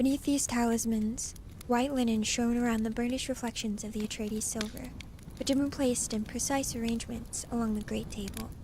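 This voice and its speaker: Over noticeable background noise, a woman with a fairly high pitch speaks at a fairly quick pace in a monotone, flat intonation. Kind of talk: audiobook reading. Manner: soft-spoken.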